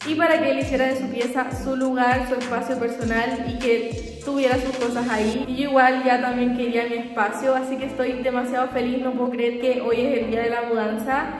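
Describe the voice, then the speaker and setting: The speaker goes at a moderate pace in a flat monotone, with audible room echo and faint background music. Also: woman, high pitch for a woman. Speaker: vlogger. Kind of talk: casual vlog chat. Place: empty room. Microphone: phone near.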